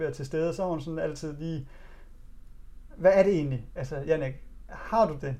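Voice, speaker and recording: A man's speech shows ordinary pitch variation and keeps a moderate pace. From Denmark, Djursland (East Jutland). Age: 30s. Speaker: author sharing personal story of addiction. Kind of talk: personal testimony in interview. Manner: halting, many fillers.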